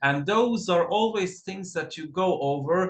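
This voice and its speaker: A man with a high pitch talks at a fairly slow pace. His intonation is lively. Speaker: costume designer. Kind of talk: lecture. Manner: halting.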